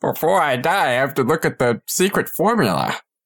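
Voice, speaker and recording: A man's put-on character voice, fairly high in pitch, at a fairly quick pace. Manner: weak, gasping.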